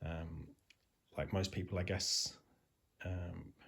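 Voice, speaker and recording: A man's very deep, low, somewhat breathy voice with fairly even intonation, on a very clean recording with a silent background. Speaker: railway modeller. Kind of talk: casual talk to camera. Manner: hesitant, lots of ums and ahs.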